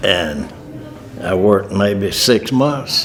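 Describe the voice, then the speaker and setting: There is noticeable background noise behind this man. He speaks very slowly in a fairly low voice. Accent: Southern US. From US South, North Carolina. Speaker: war veteran. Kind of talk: testimony.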